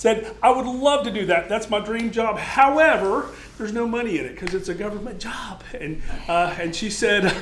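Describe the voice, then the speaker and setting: The voice is loud, with ordinary pitch variation. Noticeable background noise and audible room echo fill the recording. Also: man. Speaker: extension horticulture agent, military veteran. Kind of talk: lecture.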